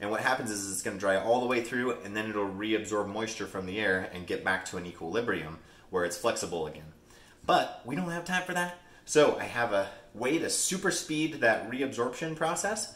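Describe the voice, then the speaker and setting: Fairly quick male speech, with room echo audible. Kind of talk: tutorial. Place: kitchen.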